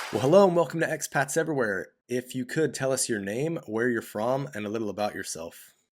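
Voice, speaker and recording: With an American accent and an unremarkable speaking voice, a man talks fairly quickly at medium pitch with lively intonation and hardly any pauses, in a very clean recording with a silent background. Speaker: YouTube interviewer host. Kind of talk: video intro to camera.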